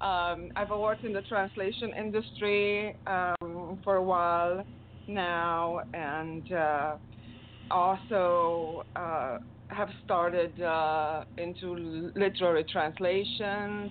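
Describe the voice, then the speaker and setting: Very slowly, a woman with a Romanian accent talks in a fairly low pitch with ordinary pitch variation. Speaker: poet and translator. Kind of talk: casual chat. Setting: video call.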